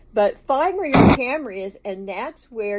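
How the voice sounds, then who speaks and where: A woman at a fairly slow pace amid noticeable background noise. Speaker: grandmother podcaster / tech novice. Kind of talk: casual talk to camera, tutorial. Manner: chatty, rambling, self-deprecating.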